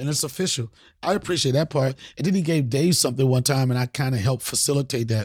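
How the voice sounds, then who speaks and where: Very fast, a man talks at a medium pitch in a very clean recording with a silent background. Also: ordinary pitch variation, very even loudness. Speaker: comedian host. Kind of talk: comedic rant, freestyle-style riffing. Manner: animated, profane, loud.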